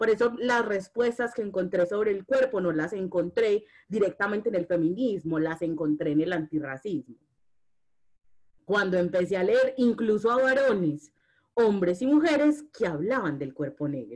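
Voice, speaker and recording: A woman with a Medellín accent, medium in pitch, with very wide pitch swings at a moderate pace. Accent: Medellín (paisa) Colombian Spanish. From Colombia, Medellín. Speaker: feminist and anti-racist activist. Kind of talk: casual conversation.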